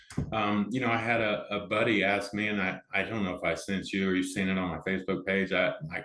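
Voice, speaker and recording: Noticeable background noise sits behind a man speaking with an American accent at a fairly low pitch. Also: fairly quick pace. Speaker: amateur pickleball player and organizer. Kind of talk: casual interview chat. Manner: loud; animated.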